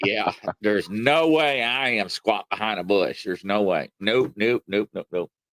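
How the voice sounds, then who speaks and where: A man's fairly low-pitched voice with a Southern US accent. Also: ordinary pitch variation, moderate pace, dry, close sound with no echo. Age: 40s. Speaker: live stream host. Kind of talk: casual chat.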